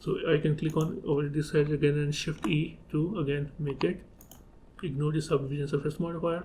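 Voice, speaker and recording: In a non-native accent, the voice is dark and mellow, somewhat breathy, with fairly even intonation and a fairly quick pace. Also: man, fairly high pitch for a man. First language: not English. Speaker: 3D software tutorial creator. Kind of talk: tutorial. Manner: halting, with fillers.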